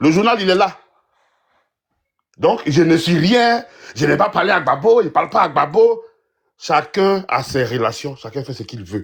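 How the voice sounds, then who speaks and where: Loud and fairly slow, the voice has very wide pitch swings and long, frequent pauses, on a very clean recording with a silent background. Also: man, high pitch for a man. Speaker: political commentator. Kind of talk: heated debate.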